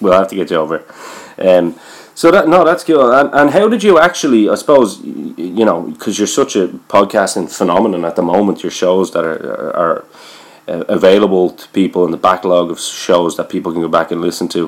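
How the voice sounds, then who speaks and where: A man speaks with an Irish accent. His pace is fairly quick. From Ireland. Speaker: podcast host. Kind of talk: casual interview.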